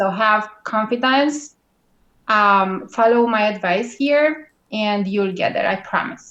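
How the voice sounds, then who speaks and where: A very slow pace in a strong Romanian accent. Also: woman, fairly high pitch for a woman, ordinary pitch variation. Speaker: guest blogging expert. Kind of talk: interview. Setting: live video call.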